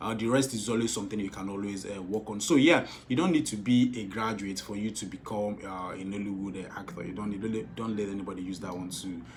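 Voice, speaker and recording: Over noticeable background noise and audible room echo, a man with a southeastern Nigerian accent speaks very fast in a fairly low pitch with hardly any pauses. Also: ordinary pitch variation. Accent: Nigerian Igbo accent in English. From Nigeria, Igbo. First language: Igbo. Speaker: film director and producer. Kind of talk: vlog advice talk. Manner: animated.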